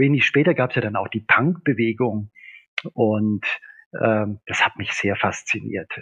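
At a fairly unhurried tempo, an ordinary speaking voice shifts pitch in an ordinary way. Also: man. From Upper Swabia, southern Germany. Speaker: physician and professor of naturopathy. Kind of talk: casual interview.

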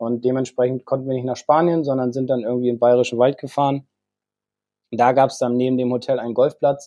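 A man with a medium pitch and a dark, mellow tone speaks at a fairly quick pace in a monotone, flat intonation. The sound is dry and close with no echo. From northern Germany, Bremen. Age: 40s. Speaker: golf instructor. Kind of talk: casual chat.

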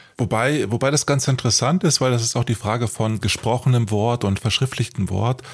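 A man talks at a fairly quick pace with hardly any pauses, his loudness very even. His voice is medium in pitch, somewhat breathy, with ordinary pitch variation. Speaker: podcast co-host, author. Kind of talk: casual chat. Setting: studio.

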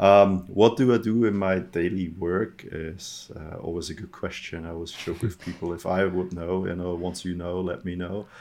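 Against a quiet background, a man with a German accent speaks in a very deep, low pitch at a moderate pace, his intonation fairly even and his loudness swinging widely, with hardly any pauses. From Austria. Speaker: database product manager. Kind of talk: casual interview.

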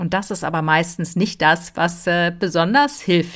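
A woman with an unremarkable speaking voice talks at a fairly low pitch with ordinary pitch variation on a very clean recording with a silent background. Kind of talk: guided meditation. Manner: slow, soothing, calm and gentle; pauses with audible exhaled sighs.

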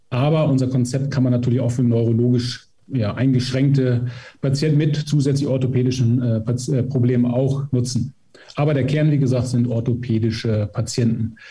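This man speaks at a medium pitch and a moderate pace, his dark, mellow tone somewhat breathy, with a monotone, flat intonation and very even loudness. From Emsland, northwestern Germany. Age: 50s. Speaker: physiotherapist and training institute head. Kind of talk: interview.

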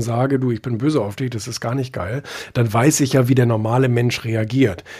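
A man's dark, mellow tone comes across at a moderate speed. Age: young. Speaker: magazine publisher and author. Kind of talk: casual interview. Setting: live social audio room. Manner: hesitant, many filler sounds.

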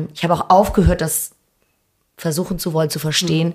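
A somewhat breathy woman's voice, fairly low in pitch, with monotone, flat intonation. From Hamburg, Germany. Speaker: restaurant owner. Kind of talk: interview. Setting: empty restaurant.

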